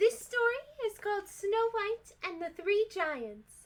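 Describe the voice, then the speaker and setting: A woman does a put-on character voice that is squeaky, with a gentle, cheerful tone. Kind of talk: bedtime story. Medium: read story. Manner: sweet, gentle, cheerful.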